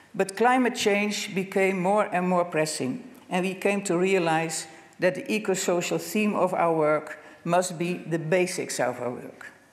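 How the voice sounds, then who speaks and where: Noticeable background noise runs under the recording. The speaker's pace is fairly slow. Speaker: social work network lead. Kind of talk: conference presentation read aloud. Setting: conference stage with audience. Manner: halting.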